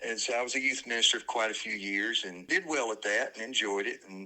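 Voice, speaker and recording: This man talks at a fairly quick pace in a Southern US accent. His tone is bright and sharp, and his intonation stays fairly even. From US South, north Alabama (Decatur). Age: 60s. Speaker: former minister, house flipper. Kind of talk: casual interview conversation.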